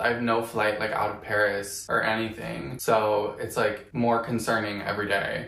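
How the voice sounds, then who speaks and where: With an American accent, a man speaks in a flat monotone while room echo is audible. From Virginia, USA. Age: 20s. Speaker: vlogger. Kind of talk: casual vlog talk to camera. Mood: low, down, venting.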